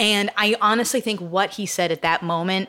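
This woman, with an American accent, has a bright, sharp tone. She keeps a moderate pace and fairly even intonation. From central Massachusetts. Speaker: novelist. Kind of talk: interview. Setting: bookstore event. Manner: halting.

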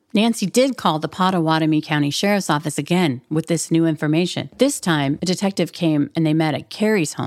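With a normal speaking voice and an American accent, a woman talks at a fairly quick pace. Her pitch varies in an ordinary way, on a very clean recording with a silent background. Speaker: true crime podcast host. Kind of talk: true-crime narration. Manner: measured, storytelling, suspenseful.

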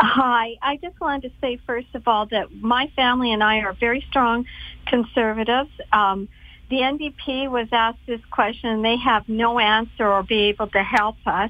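A woman has an unremarkable speaking voice, pitched fairly high. Her pace is moderate and her intonation fairly even. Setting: phone call.

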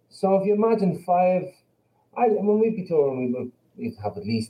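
A man talks with an Irish accent. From Ireland. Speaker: band member, musician. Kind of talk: casual interview chat.

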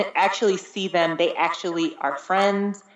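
At a medium pitch and a moderate pace, a woman talks in a normal speaking voice. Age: 30s. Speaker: podcast guest. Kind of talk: casual chat.

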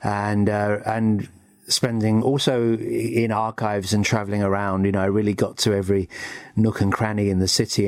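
A man with an English accent speaks at a moderate pace, his fairly low pitch held in a monotone, flat intonation. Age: 60s. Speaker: music historian and author. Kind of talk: interview. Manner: hesitant, with frequent fillers.

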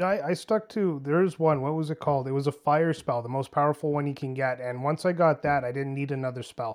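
This man has an unremarkable speaking voice, pitched fairly high, moving at a fairly quick pace with hardly any pauses. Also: ordinary pitch variation. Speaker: gamer guest. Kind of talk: casual chat.

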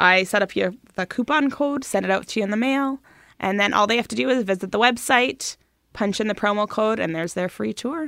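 A woman with a Canadian accent talks in an unremarkable speaking voice, fairly high-pitched, with lively intonation at a fairly quick pace. The recording is very clean, with a silent background. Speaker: brewery tour operator. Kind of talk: radio interview.

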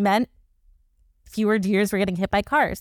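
On a very clean recording with a silent background, a woman speaks in a fairly high pitch with an animated tone, the sound dry and close with no echo. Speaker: science podcast host. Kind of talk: casual chat.

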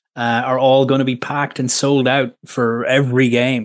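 In an Irish accent, a man talks at medium pitch with monotone, flat intonation over a quiet background. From Ireland. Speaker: sports journalist. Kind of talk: radio interview.

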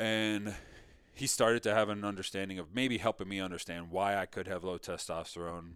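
In a normal speaking voice, a man talks at a fairly quick pace with an American accent. His fairly low pitch has fairly even intonation, and the recording is very clean with a silent background. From New York area (Mamaroneck). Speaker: thyroid cancer survivor. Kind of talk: interview testimony.

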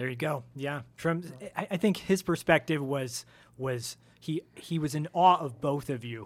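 Using a normal speaking voice, a man talks at a fairly slow pace. His pitch variation is ordinary. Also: fairly high pitch for a man. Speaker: podcast co-host. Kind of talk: casual interview. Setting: studio.

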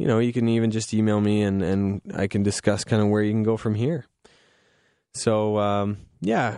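A man with a Canadian accent, fairly low in pitch and dark and mellow in tone, at a moderate pace over a quiet background. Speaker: radio host. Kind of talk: casual chat. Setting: studio. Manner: relaxed, frequent filler words.

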